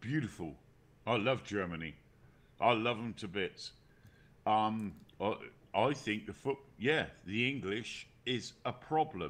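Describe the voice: With a British accent, a man talks at a fairly slow pace and a fairly low pitch, his intonation lively, with long, frequent pauses against a quiet background.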